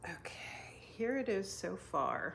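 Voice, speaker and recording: Audible room echo surrounds a woman's speaking voice. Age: 60s. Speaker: knitting and crafting podcaster. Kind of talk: casual craft vlog, show and tell. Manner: hesitant, many fillers.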